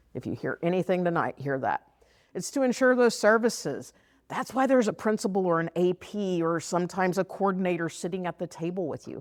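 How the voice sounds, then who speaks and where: Speaking at a fairly quick pace in a strong Texas accent, a woman with a medium pitch sounds animated, with lively intonation, on a very clean recording with a silent background and a dry, close sound with no echo. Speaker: former teacher and district special education trainer. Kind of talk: workshop presentation. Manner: animated, conversational.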